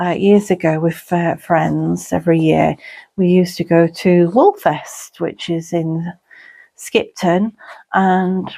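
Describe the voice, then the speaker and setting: A woman talks at a very slow pace with a medium pitch. The recording is very clean, with a silent background. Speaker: crafter and gardener. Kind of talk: casual talk to camera.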